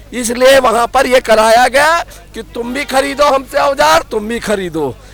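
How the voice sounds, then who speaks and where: A man's high-pitched, lively voice over crowd noise in the background. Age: 50s. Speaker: political commentator. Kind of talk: heated debate. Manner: insistent.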